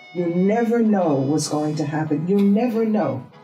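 With an American accent, a woman speaks at a moderate pace amid audible room echo and faint music in the background. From New York. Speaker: artist. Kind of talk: interview answer. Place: home room.

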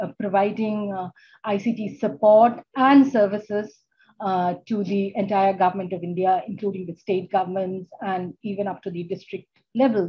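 Against light background noise, a woman speaks at a moderate pace, somewhat breathy, with fairly even intonation. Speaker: keynote speaker. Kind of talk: keynote talk. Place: office. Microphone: video call.

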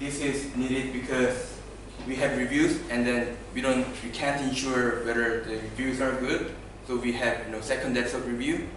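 Light background noise and audible room echo around a man at a fairly slow pace. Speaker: conference presenter. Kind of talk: lecture. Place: meeting room. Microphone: camera far.

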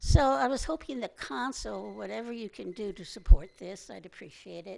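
A woman's voice with vocal fry and very wide pitch swings, at a moderate pace over a quiet background. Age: 80s+. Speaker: public commenter. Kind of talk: public comment at council meeting. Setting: city council meeting.

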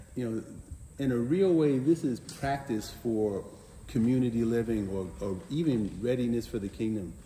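At a moderate pace, a man with a dark, mellow, somewhat breathy voice speaks with ordinary pitch variation, with audible room echo and light background noise. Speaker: teacher. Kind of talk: sermon. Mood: warm, reflective. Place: open country. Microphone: lapel.

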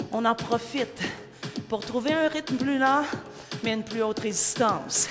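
A woman with a high pitch at a fairly slow pace, with music in the background. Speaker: spin class coach. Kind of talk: fitness class instruction. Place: studio.

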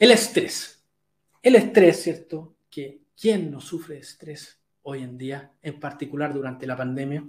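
The voice is somewhat breathy, with lively intonation and big swings in loudness. The pace is fairly slow. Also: man, fairly high pitch for a man. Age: 40s. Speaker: health coach. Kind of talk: live webinar talk. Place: home room. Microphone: webcam.

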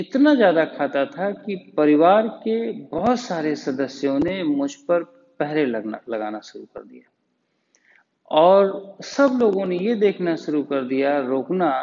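A man with a high-pitched voice talks at a very slow pace, his loudness swinging widely. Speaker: yoga teacher. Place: home room.

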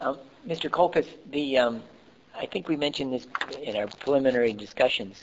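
A man's medium-pitched voice with ordinary pitch variation and long, frequent pauses, over noticeable background noise. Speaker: oral history interviewer. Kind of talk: oral history interview. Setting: library. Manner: halting, many fillers.

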